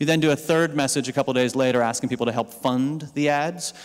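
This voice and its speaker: This is a man with an unremarkable speaking voice at a medium pitch. He talks at a fairly quick pace with fairly even intonation. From Pennsylvania farm country, US. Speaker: digital campaign strategist, keynote speaker. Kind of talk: conference keynote talk. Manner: casual, with fillers and repetitions.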